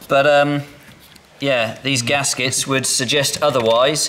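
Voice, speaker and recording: A man at a moderate pace with ordinary pitch variation over light background noise. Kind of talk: tutorial. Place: workshop.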